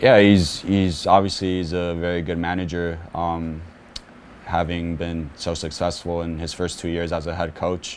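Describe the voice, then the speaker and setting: Quiet and fairly slow, a man speaks in a very deep, low voice with monotone, flat intonation and audible room echo. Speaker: professional soccer midfielder. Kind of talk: press conference interview. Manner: quiet, reserved; halting, many repetitions and fillers.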